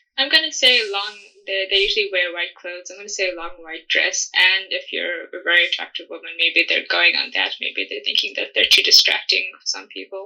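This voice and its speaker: Over noticeable background noise, a woman talks at a fairly quick pace with hardly any pauses and big swings in loudness. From South Africa. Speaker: podcast host, folklore storyteller. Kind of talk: podcast interview answer.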